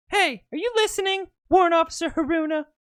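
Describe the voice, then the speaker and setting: In a put-on character voice, the speaker rattles along at a very fast pace with an extremely high, squeaky pitch. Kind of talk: amateur girly put-on voice. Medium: game stream. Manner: cheerful, friendly.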